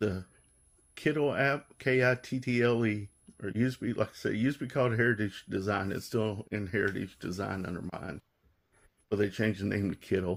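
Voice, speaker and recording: A man with an ordinary speaking voice talks at a fairly quick pace and fairly low pitch. The pitch variation is ordinary, and the recording is very clean with a silent background. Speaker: hobbyist custom decal maker. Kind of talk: tutorial. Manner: casual, rambling with fillers.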